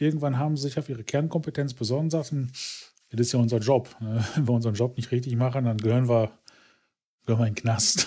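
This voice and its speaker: A man's somewhat breathy, dark, mellow, medium-pitched voice at a very fast pace, with long, frequent pauses, fairly even intonation and a very clean recording over a silent background. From Ruhr area, Germany. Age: middle-aged. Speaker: podcast co-host. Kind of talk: casual chat.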